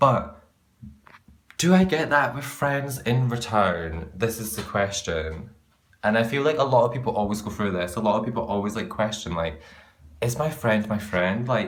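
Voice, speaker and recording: A man with a Scottish accent speaks at a moderate pace in a medium pitch. His tone is animated and his intonation lively, with audible room echo. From Scotland. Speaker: vlogger. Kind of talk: casual rant to camera.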